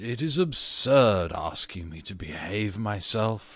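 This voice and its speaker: A man's fairly low-pitched put-on character voice at a fairly slow pace. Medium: read story. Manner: petulant.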